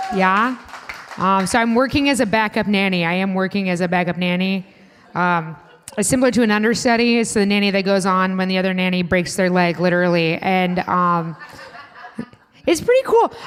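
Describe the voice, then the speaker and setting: A woman with a Chicago accent at a fairly quick pace, her medium pitch showing ordinary pitch variation. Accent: Midwestern (Chicago) vowels. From US Midwest, Indiana. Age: 30s. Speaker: comedian. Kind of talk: stand-up. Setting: stage with audience at a restaurant.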